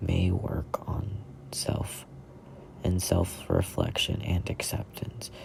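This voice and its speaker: Noticeable background noise sits under whispering that goes at a very slow pace. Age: 20s. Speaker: content creator. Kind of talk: reading aloud.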